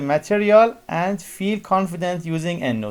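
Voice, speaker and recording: A man's high-pitched voice, with lively intonation, at a moderate pace. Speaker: university lecturer. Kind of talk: lecture. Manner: halting.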